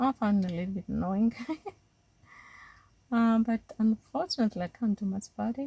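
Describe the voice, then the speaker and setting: In a strong Greek accent, a woman with a fairly high pitch and ordinary pitch variation speaks in a somewhat breathy, dark, mellow tone, leaving long, frequent pauses. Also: fairly quick pace, dry, close sound with no echo. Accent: Greek accent, still strong. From Greece. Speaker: watercolor art teacher. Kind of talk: tutorial. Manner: halting, many fillers and restarts.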